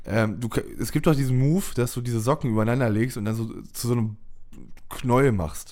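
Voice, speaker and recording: The man's voice has a dark, mellow tone at a medium pitch. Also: ordinary pitch variation, fairly quick pace. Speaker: podcast host. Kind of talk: casual chat.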